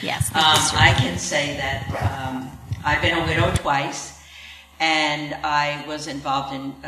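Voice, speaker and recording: A woman with a New York accent speaks at a very deep, low pitch with fairly even intonation. Noticeable background noise runs underneath. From Long Island, New York. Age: 70s. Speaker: panelist, church member, widow. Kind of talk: panel Q&A.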